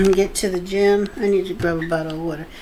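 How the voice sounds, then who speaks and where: The intonation stays fairly even. Background noise is noticeable. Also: woman. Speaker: vlogger. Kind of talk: casual vlog chat. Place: kitchen.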